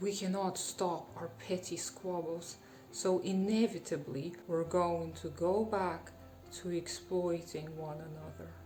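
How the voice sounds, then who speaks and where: Over music in the background, a woman speaks at a very slow pace. Her pitch is fairly low and her intonation fairly even. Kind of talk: political commentary to camera.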